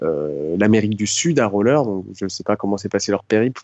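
A man speaks in a normal speaking voice. His intonation is lively and his pace fairly quick. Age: 30s. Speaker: roller-skate traveller. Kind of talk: interview.

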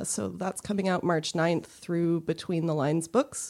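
Low-pitched for a woman, this is an ordinary speaking voice with ordinary pitch variation. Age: 30s. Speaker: comic artist. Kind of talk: casual chat. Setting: studio.

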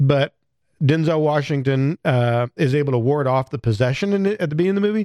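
Speech in an American accent comes at a very fast pace with ordinary pitch variation. The sound is dry and close with no echo, on a very clean recording with a silent background. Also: man, fairly high pitch for a man. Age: older than co-host. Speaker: podcast host. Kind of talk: casual chat.

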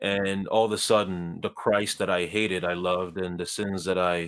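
A man's very deep, low voice, monotone and flat, at a moderate pace on a very clean recording with a silent background. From Ghana. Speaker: pro-life activist and blogger. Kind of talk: interview, guest sharing testimony and views.

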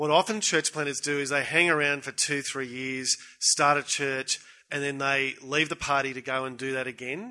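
With an Australian accent, the speaker uses a bright, sharp tone at a moderate pace. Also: man. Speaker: pastor. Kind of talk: conference panel discussion. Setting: stage with audience.

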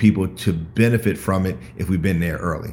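This is an ordinary speaking voice moving at a moderate pace. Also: man. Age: 50s. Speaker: entrepreneur and mentor. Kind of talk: casual chat. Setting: video call.

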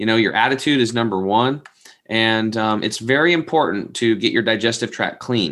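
A man with an unremarkable speaking voice speaks at a moderate pace, at a medium pitch, with ordinary pitch variation. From US West, Eastern Oregon. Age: 40s. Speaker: health product entrepreneur. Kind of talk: interview.

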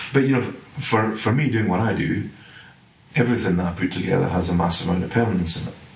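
Over noticeable background noise, a man with a Scottish accent talks at a fairly quick pace with ordinary pitch variation. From Scotland. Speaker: property development director. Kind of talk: casual interview.

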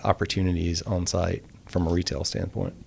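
A man speaks in a very deep, low pitch with a Southern US accent. His pace is moderate and his intonation fairly even. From US South, rural Mississippi. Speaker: architect. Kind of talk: casual chat.

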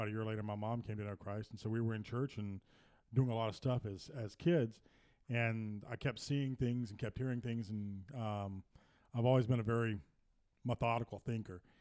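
Speaking with an American accent, a man has a medium pitch and a dark, mellow tone. His pace is moderate and his intonation fairly even. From US Deep South, Louisiana and Mississippi. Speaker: podcast co-host, grandfather. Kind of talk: casual chat.

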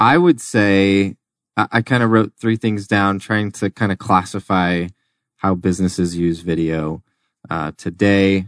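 A man speaks in a normal speaking voice at a moderate pace, his fairly low pitch showing ordinary variation, with a dry, close sound, no echo, and a quiet background. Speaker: video producer, business founder. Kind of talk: casual interview chat. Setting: studio.

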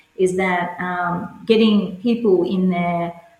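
In an Australian accent, a woman speaks at a fairly low pitch with monotone, flat intonation. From Australia, rural New South Wales (Cowra). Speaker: curling club organiser and coach. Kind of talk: interview.

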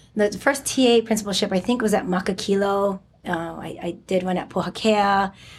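Speaking in a Hawaiian accent, a woman keeps a moderate pace, a medium pitch and fairly even intonation. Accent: Hawaii English. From Hawaii (Oahu). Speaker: elementary school principal. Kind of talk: interview. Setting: school campus.

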